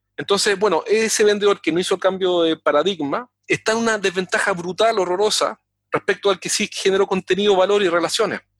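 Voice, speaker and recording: Using fairly even intonation and hardly any pauses, a man with a high pitch talks at a fairly quick pace. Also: dry, close sound with no echo. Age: 40s. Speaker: sales consultant. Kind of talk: interview.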